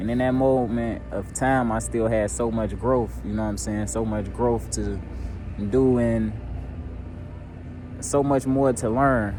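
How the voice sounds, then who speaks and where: A man's voice broken by long, frequent pauses, with audible room echo and music in the background. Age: 20s. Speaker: vlogger. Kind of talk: personal vlog monologue. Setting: outdoors at a job site. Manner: casual, reflective.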